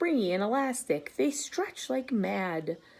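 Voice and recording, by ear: The text is read out loud. It sounds natural.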